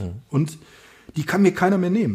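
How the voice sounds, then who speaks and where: A man's high-pitched voice has a dark, mellow tone and lively intonation. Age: 50s. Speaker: author and amateur runner. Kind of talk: casual interview.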